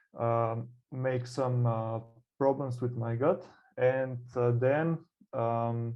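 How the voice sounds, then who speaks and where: A man with a Slovenian accent, medium pitch, fairly even intonation, and a very slow pace. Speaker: burnout coach. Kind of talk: interview. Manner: halting, many fillers.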